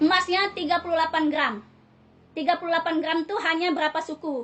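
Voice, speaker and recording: A woman speaks with an extremely high pitch and fairly even intonation. Noticeable background noise runs behind her. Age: 30s. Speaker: civil servant, hospital administrative staff. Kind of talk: self-recorded personal appeal to viewers. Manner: repetitive, halting.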